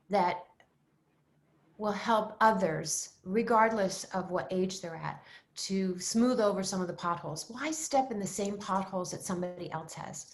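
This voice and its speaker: Somewhat breathy and medium in pitch, a woman speaks at a moderate pace with ordinary pitch variation. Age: 70s. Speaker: style expert. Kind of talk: interview. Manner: animated.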